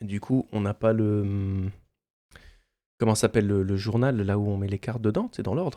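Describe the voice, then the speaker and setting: On a very clean recording with a silent background and a dry, close sound with no echo, a soft-spoken man talks at a moderate pace in a dark, mellow tone at medium pitch. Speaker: ASMR unboxing youtuber and streamer. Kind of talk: soft-spoken ASMR unboxing. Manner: speaks softly.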